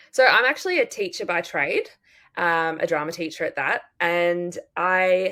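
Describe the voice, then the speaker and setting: On a very clean recording with a silent background, a woman in an Australian accent speaks at a medium pitch and a moderate pace. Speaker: drama teacher and book podcaster. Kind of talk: casual chat.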